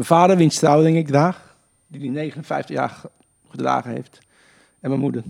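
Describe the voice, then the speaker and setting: Speech comes at a fairly slow pace with fairly even intonation and long, frequent pauses. The loudness swings widely. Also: man. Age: 60s. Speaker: golf coach and charity golfer. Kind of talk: casual interview.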